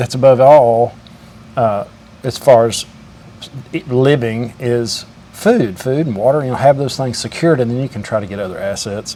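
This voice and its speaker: A man's medium-pitched, moderately paced speech with ordinary pitch variation, big swings in loudness, long, frequent pauses and noticeable background noise. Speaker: welder. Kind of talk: casual interview and commentary to camera.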